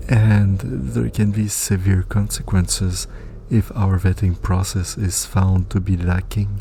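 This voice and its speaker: Against noticeable background noise, a man with a very deep, low voice speaks fairly slowly, keeping his loudness very even and his pitch variation ordinary. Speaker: story narrator. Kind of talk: read story narration.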